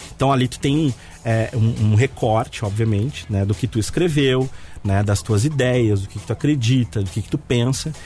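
A man speaks at medium pitch. Music plays in the background. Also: ordinary pitch variation, moderate pace. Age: 30s. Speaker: communication consultant. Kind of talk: radio interview. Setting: radio studio.

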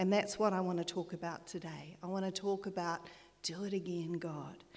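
A woman with a New Zealand accent, medium pitch, warm tone, monotone, flat intonation and a moderate pace. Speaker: lay preacher. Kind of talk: sermon. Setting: church. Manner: warm, encouraging.

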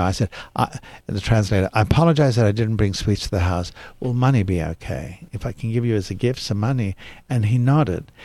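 A man with an Australian accent speaks at a very fast pace in a fairly low pitch, with ordinary pitch variation. His tone is dark and mellow, somewhat breathy, in a very clean recording with a silent background. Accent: British-sounding Australian. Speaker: actor. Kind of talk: interview. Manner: storytelling.

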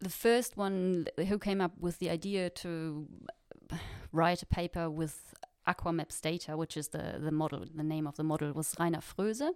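At a moderate pace, a woman with a German accent speaks at a fairly low pitch with ordinary pitch variation. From Germany. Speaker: postdoc researcher. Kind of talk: interview chat.

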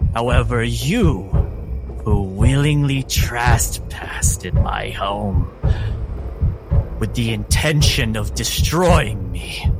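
A man's put-on character voice at a very slow pace, with long, frequent pauses over clear background noise. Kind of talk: ominous villain pronouncement. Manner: cold, menacing, imperious.

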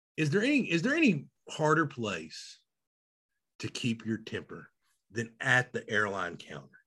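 In a Southern US accent, a man speaks at a fairly slow pace with long, frequent pauses, captured in a very clean recording against a silent background. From Arkansas. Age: 40s. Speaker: podcast co-host. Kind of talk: casual chat.

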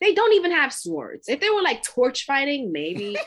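A woman is speaking. Her pitch swings very widely. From Brooklyn, New York. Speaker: podcast guest. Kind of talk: casual chat.

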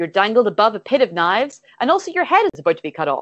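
A woman with an Irish accent and very wide pitch swings. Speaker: comedian and streamer. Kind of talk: casual comedic chat, improvised game. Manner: halting, hesitant, filler-heavy.

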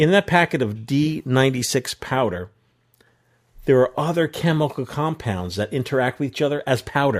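Lively intonation from a man of medium pitch at a moderate pace. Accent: American. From New York area. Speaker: podcast host. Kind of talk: casual chat. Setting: video call.

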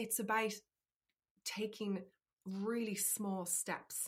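A somewhat breathy woman's voice with an Irish accent, on a very clean recording with a silent background. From Ireland. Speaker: life coach. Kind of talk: interview.

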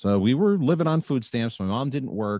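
A man is heard against a quiet background. The sound is dry and close, with no echo. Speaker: recovering alcoholic sharing story. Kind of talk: personal testimony. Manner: smooth delivery.

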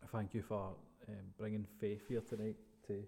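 A man with a Scottish accent speaks in a dark, mellow tone. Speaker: podcast host. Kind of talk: casual interview.

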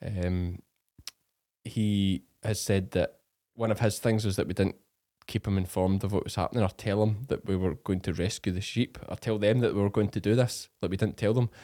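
A man with a Scottish accent speaks at a fairly low pitch and a moderate pace, his tone dark and mellow and his intonation fairly even. The sound is dry and close with no echo, on a very clean recording with a silent background. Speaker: farmer podcast host. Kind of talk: casual chat.

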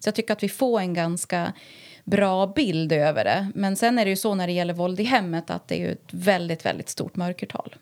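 In a very clean recording with a silent background, a woman with an ordinary speaking voice talks at medium pitch and a moderate pace, with ordinary pitch variation. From Härnösand, Sweden. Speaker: violence prevention coordinator. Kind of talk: interview in her home.

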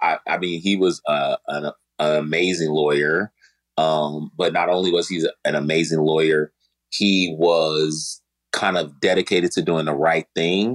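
A man's very deep, low voice with an American accent, fairly even intonation and a fairly slow pace, in a dry, close sound with no echo. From Chicago. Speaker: social media influencer and TV producer. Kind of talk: casual interview.

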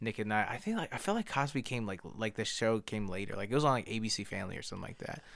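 A man at medium pitch, talking very fast with hardly any pauses, his pitch varying ordinarily. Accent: American. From Harrisburg, Pennsylvania, US. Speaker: rapper. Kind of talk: promotion of own music; casual chat.

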